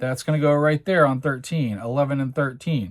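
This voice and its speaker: The recording is very clean, and the background is silent. A man talks at a fairly high pitch. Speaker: tabletop game demonstrator. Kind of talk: tutorial. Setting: tabletop with overhead camera. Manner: slow, deliberate explanation.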